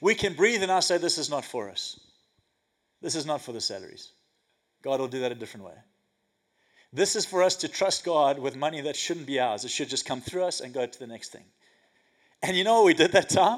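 A man with a fairly high pitch talks at a fairly quick pace in an animated tone, with very wide pitch swings and big swings in loudness. Long, frequent pauses break up his speech on a very clean recording with a silent background. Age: 40s. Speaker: pastor. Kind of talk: sermon. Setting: church.

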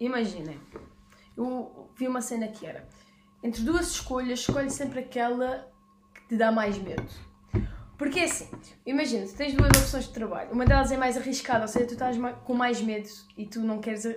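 With audible room echo and noticeable background noise, a woman speaks at a high pitch and a moderate pace, using ordinary pitch variation, big swings in loudness, and long, frequent pauses. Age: 20s. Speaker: podcast co-host. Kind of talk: casual chat. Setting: garage.

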